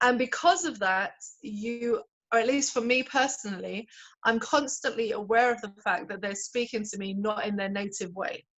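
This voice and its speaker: A woman with a London accent and a fairly high pitch speaks at a moderate pace with ordinary pitch variation and big swings in loudness. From London, England. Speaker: pastor. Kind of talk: interview.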